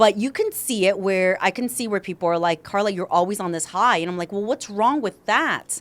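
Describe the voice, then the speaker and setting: A woman talks at a fairly quick pace with hardly any pauses. Her pitch sits in the medium range and varies in an ordinary way. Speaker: podcast host; salesperson. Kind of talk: casual chat. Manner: loud.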